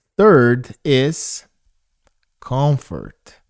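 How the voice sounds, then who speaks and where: A man with a non-native accent. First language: not English. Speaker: motivational speaker. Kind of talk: motivational talk. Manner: repetitive, conversational.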